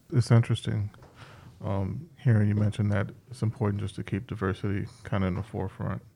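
Dark, mellow tone with vocal fry, fairly even intonation and a fairly quick pace. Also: man, fairly low pitch for a man. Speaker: podcast host. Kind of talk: casual chat.

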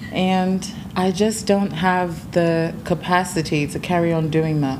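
Noticeable background noise surrounds a woman whose voice is fairly low. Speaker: TikTok creator. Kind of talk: casual podcast chat. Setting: podcast recording with mic.

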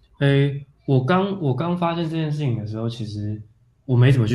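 A man's dark, mellow, somewhat breathy voice at a moderate pace with ordinary pitch variation. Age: 30s. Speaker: photographer and theatre director. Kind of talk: casual interview. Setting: remote call with earphones.

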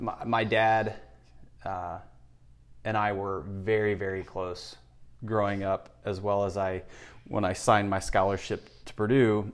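In a flat, monotone delivery, a man with a fairly low voice speaks at a fairly slow pace. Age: 50s. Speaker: personal trainer and gym owner. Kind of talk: interview, personal life story. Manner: hesitant, with repetitions and fillers.

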